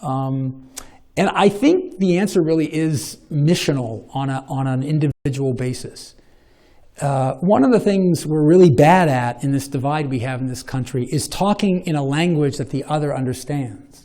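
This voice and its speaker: The tone is dark and mellow. Delivery comes at a moderate pace with ordinary pitch variation. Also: man, fairly high pitch for a man. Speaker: professor of religious studies. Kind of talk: Q&A after a lecture. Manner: halting, with many repetitions; long-winded.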